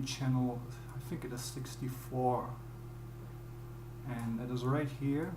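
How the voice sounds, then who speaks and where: A man talks at a fairly slow pace. Background noise is noticeable. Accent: German. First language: German. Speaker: music producer. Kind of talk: tutorial. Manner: halting. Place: home room.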